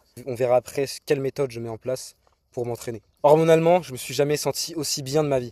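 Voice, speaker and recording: A man's medium-pitched, dark, mellow voice at a very fast pace, fairly even intonation and big swings in loudness, dry and close with no echo. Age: 20s. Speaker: fitness youtuber. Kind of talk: vlog monologue. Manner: casual.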